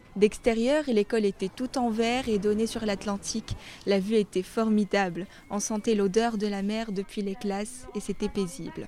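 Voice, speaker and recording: Using a plain, everyday voice, a woman speaks at a moderate pace with fairly high pitch and fairly even intonation. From Morocco, Salé. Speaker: student documentary maker. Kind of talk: scripted narration.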